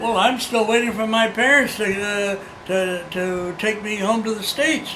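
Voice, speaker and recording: A man's high, raised and projected voice at a moderate pace, fairly even in intonation, with noticeable background noise and audible room echo. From China. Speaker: oral history interviewee. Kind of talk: oral history interview. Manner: halting.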